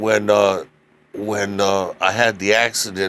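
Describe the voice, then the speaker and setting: Here a man speaks at a fairly slow pace. His voice is fairly low. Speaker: accident survivor. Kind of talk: personal testimony. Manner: halting, with many fillers.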